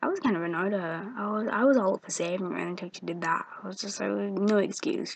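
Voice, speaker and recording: A woman talks very fast, with hardly any pauses. Her medium pitch varies in an ordinary way. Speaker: video blogger, game fan. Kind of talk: casual vlog, game episode recap. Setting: at home in bed, at night. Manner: rambling, hesitant with many ums. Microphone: built-in laptop microphone.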